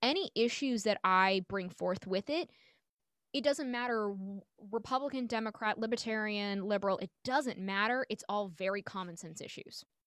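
Here a woman with an American accent uses a normal speaking voice at a fairly high pitch and moderate pace. Her pitch varies in an ordinary way, and the sound is dry and close with no echo. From New York City. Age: 30s. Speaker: stand-up comedian. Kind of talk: casual chat. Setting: video call.

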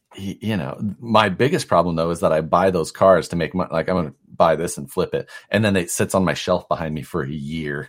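Speaking at a fairly quick pace with a Midwestern American accent, a man has a very deep, low pitch and ordinary pitch variation. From US Midwest, Nebraska. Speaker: RC parts designer and crawler competitor. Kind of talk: casual chat.

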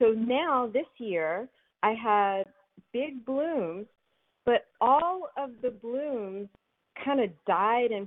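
Her intonation lively, a woman talks in an American accent. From Philadelphia. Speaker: caller. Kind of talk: call-in question. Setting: phone call.

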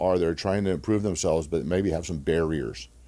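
A man's very deep, low voice with a dark, mellow tone, at a fairly quick pace with ordinary pitch variation, in a very clean recording over a silent background. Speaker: former NFL player, nonprofit founder. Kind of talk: casual interview. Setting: studio.

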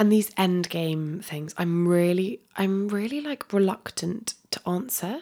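A woman with a southern English accent and medium pitch speaks in a calm tone at a fairly slow pace, with hardly any pauses and ordinary pitch variation. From Dorset, southwest England. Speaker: holistic health coach. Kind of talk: casual interview.

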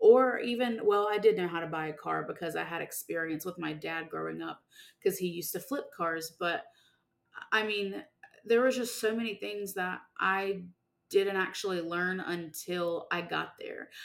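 A woman speaks in a normal speaking voice at medium pitch and a moderate pace, with ordinary pitch variation and big swings in loudness. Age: 20s. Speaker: college and career life coach. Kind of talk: solo podcast monologue. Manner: casual, conversational.

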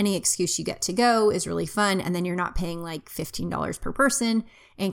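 On a very clean recording with a silent background, a woman of medium pitch speaks at a fairly quick pace. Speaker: parenting podcaster. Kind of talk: casual monologue. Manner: fast.

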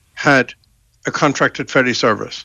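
A man with an Irish accent speaks in a bright, sharp tone with vocal fry, his voice dry and close with no echo against a quiet background. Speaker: politician, former government minister. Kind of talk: radio interview.

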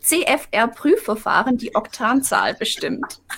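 This is a woman's voice. Her pitch is high. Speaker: live chat moderator. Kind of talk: reading viewer questions in live stream.

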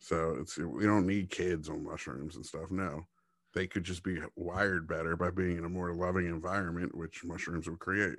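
This man's voice sits very deep and low, with fairly even intonation. The recording is very clean, with a silent background. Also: moderate pace. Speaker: podcast co-host. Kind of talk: casual chat. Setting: studio recording on camera. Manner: monotone.

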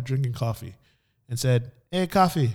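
At a moderate pace, a man with a Miami accent and medium pitch uses lively intonation in a very clean recording with a silent background. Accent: Miami American English. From Miami, Florida. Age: young. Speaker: podcast co-host. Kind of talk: casual chat. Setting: studio.

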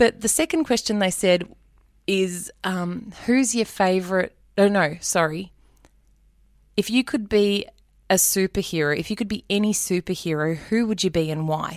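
The speaker is a woman with an Australian accent. The recording is very clean, and the background is silent. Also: medium pitch for a woman, ordinary pitch variation, moderate pace. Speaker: radio presenter. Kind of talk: interview.

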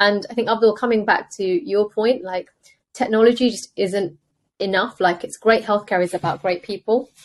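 Moderate pace and ordinary pitch variation, with a British accent. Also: woman, fairly high pitch for a woman. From England, UK. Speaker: consultant radiologist and startup founder. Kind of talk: interview conversation.

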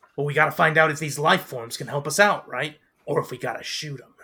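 In a put-on character voice, a man races along very fast at a fairly high pitch, with fairly even intonation and big swings in loudness. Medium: actual play.

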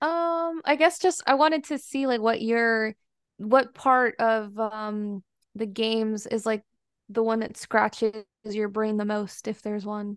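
A woman at a fairly high pitch and fairly slow pace, with ordinary pitch variation over a quiet background. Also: dry, close sound with no echo. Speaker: video game fan. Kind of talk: casual chat.

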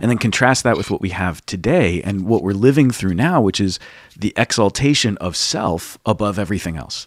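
Recorded very cleanly with a silent background and a dry, close sound with no echo, a man talks at a moderate pace. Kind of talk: casual chat and interview.

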